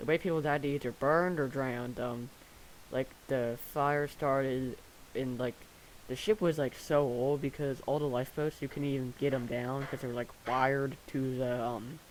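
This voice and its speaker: A man speaks quietly at medium pitch. His pace is moderate and his intonation fairly even. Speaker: gaming video creator. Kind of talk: gameplay commentary. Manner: halting, many fillers.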